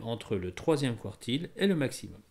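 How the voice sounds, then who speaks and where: Recorded very cleanly against a silent background, a man with a fairly high pitch talks at a moderate pace with very wide pitch swings. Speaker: statistics teacher. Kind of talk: educational tutorial narration.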